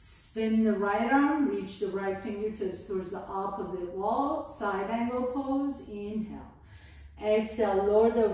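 Strong room echo surrounds a woman speaking in a fairly high pitch. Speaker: yoga instructor. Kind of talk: guided yoga class with meditation-style cues. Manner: calm, soothing, unhurried; gentle, slow-paced, with pauses between cues. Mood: calm, soothing. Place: home room. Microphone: camera far.

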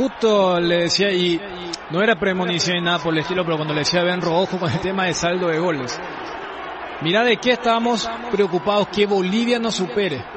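Noticeable background noise runs under this man's high-pitched voice. He talks at a fairly quick pace with ordinary pitch variation. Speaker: football commentator, analyst. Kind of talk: live football commentary and post-match analysis. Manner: measured, analytical, somber.

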